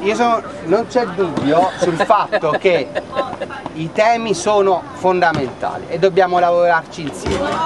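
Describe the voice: A man speaks at a fairly slow pace with a high pitch. Clear crowd noise and other clear background noise can be heard behind him.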